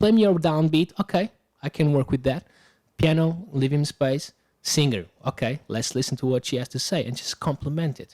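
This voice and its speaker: A man with a Portuguese accent talks at a fairly quick pace in a fairly high pitch with ordinary pitch variation. His tone is dark and mellow, and the sound is dry and close with no echo. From Portugal, Lisbon. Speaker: musician. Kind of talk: casual chat. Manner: halting.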